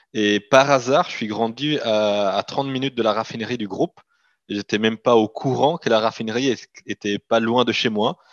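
A man speaks at medium pitch with a slight Italian accent and ordinary pitch variation. His pace is moderate, and the sound is dry and close with no echo. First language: Italian (speaking French). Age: 30s. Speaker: company CEO. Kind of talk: interview.

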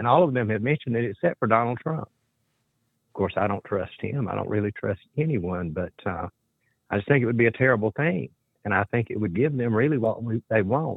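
A man with an unremarkable speaking voice talks at a fairly quick pace and medium pitch. His intonation is lively. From US South. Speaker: caller. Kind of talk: call-in talk. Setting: phone call.

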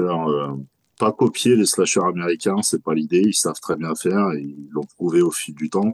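A man speaks at a moderate pace with a very deep, low pitch, the sound dry and close with no echo. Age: 40s. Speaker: horror festival founder and clothing brand creator. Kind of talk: interview.

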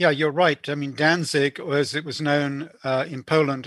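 Dry and close with no echo, a man's fairly high voice comes over a quiet background. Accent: British. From UK, born in Belfast. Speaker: author and historian, former journalist. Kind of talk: interview. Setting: podcast interview. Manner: hesitant, many fillers.

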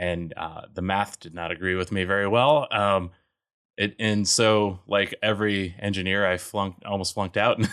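This man has an unremarkable speaking voice with an American accent, fairly low in pitch and fairly even in intonation. He talks at a moderate pace on a very clean recording with a silent background. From US Mountain West, Colorado. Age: 30s. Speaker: geologist and startup founder. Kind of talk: casual interview.

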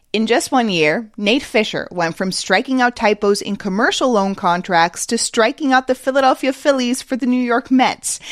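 Here is a plain, everyday voice from a woman, fairly high with lively intonation. She keeps a moderate pace in a dry, close sound with no echo. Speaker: podcast host. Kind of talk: news reading.

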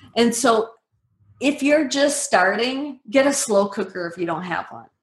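A woman with an unremarkable speaking voice talks fairly slowly, with ordinary pitch variation. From US Midwest, Medford, Wisconsin. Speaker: keto nutrition author. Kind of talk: interview.

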